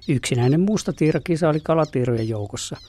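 There is noticeable background noise as a man talks with ordinary pitch variation at a moderate pace. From Finland, South Karelia (Lappee). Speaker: nature radio presenter, ornithologist. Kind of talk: scripted narration.

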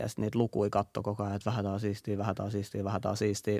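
A man speaks very fast at a fairly low pitch with vocal fry, on a very clean recording with a silent background. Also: dry, close sound with no echo. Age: 20s. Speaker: podcast host. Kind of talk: casual chat.

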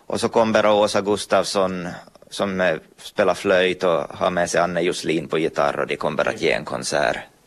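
Here is a man with a very deep, low pitch. His pitch varies in an ordinary way. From Ostrobothnia, Finland (Pedersöre, Purmo). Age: 30s. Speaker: artist and author. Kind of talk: interview.

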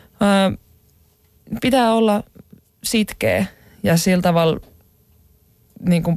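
Her pitch leaps very widely as this woman talks. She goes along at a very slow rate. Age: 20s. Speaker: aerial acrobat, circus artist. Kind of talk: interview. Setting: studio.

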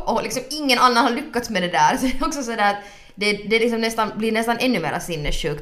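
Very fast speech with lively intonation, noticeable background noise and audible room echo. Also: woman. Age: 20s. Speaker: podcast co-host. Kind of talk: casual chat.

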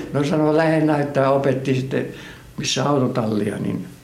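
Amid noticeable background noise and audible room echo, a man speaks fairly slowly with fairly even intonation. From Finland, Kotka. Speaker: emigrant interviewee. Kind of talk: life story interview. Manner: halting.

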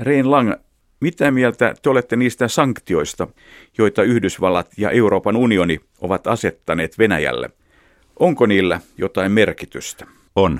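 In a very clean recording with a silent background and a dry, close sound with no echo, a man speaks in a plain, everyday voice at medium pitch, fairly slowly, with lively intonation. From Finland, Helsinki. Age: 50s. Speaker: radio journalist. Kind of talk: interview. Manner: formal.

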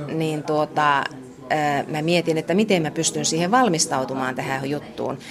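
A woman's very deep, low pitch at a fairly slow pace, with noticeable background noise. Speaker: teacher. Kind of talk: classroom teaching.

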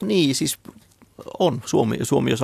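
The speech moves at a moderate pace. It sounds dry and close, with no echo. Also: man. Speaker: ant researcher. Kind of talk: radio interview. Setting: studio. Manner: halting, repeats words.

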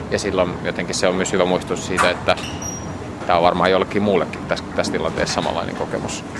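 A man's very deep, low voice at a fairly quick pace amid noticeable background noise. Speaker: youth services director. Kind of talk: interview on location. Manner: halting, many fillers.

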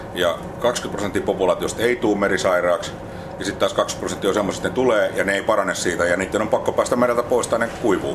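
Over noticeable background noise, a man talks very fast with very even loudness. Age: 60s. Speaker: marine research manager. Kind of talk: interview. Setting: research ship at sea.

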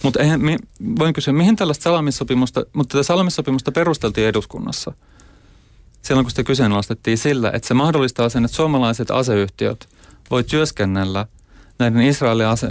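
At a fairly quick pace, a man talks in a medium pitch with ordinary pitch variation and very even loudness. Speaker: human rights activist. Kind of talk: debate. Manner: halting.

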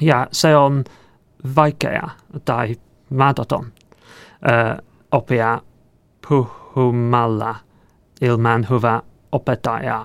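Very slowly and with long, frequent pauses, a man with an English accent speaks at medium pitch with fairly even intonation and big swings in loudness. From England. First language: English (speaking Finnish). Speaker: software engineer. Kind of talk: interview. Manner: halting, hesitant.

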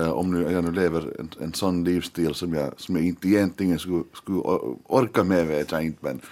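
Very deep and low in pitch, a man speaks at a moderate pace with fairly even intonation in a very clean recording with a silent background. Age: 30s. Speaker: journalist and editor-in-chief. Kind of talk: radio panel discussion. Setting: studio. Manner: halting, many repeated words.

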